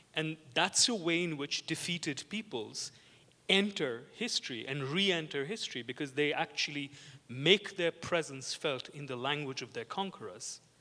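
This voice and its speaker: A man's fairly high, bright, sharp voice with a non-native accent, lively intonation and a moderate pace. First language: not English. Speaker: art historian. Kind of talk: panel discussion. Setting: conference with audience. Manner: halting, many repetitions.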